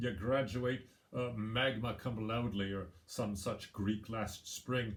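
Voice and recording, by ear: The intonation is fairly even. The text is read aloud in a natural voice.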